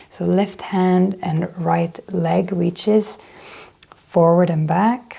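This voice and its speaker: A woman with a fairly low pitch speaks in a calm tone at a very slow pace, with noticeable background noise behind her. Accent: Swedish. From Sweden. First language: Swedish. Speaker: yoga instructor. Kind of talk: guided yoga class. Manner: calm instructive; occasionally searching for words.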